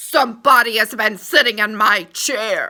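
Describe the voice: Putting on a gruff, growling character voice, a woman speaks at a moderate pace with a fairly high pitch.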